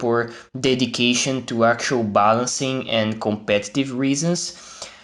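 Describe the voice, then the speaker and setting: Speaking at a fairly slow pace, a man with a Portuguese accent keeps his intonation fairly even. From Brazil. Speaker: gaming YouTuber. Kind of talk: video commentary. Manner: halting.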